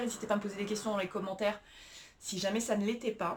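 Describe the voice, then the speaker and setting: A woman with a medium pitch talks over noticeable background noise. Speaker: self-help coach. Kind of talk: tutorial. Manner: hesitant, many fillers.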